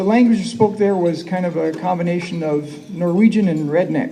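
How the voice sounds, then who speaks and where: A man with an American accent speaks at a high pitch, with ordinary pitch variation. The recording has audible room echo and noticeable background noise. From northwest Wisconsin. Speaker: school superintendent. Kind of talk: conference keynote speech. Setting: stage with audience.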